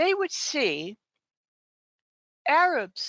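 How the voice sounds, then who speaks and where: Against a quiet background, a woman with a bright, sharp tone speaks at a fairly slow pace, her pitch making very wide swings. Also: dry, close sound with no echo. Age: 70s. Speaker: guest commentator on Israel. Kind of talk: podcast interview. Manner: animated.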